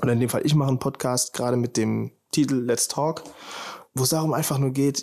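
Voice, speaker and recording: Fairly quick in pace, a man talks with a fairly high pitch and fairly even intonation. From Germany, Heidelberg. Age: 20s. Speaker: podcast host, film student. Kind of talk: casual monologue. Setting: standing at a window. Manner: casual, relaxed.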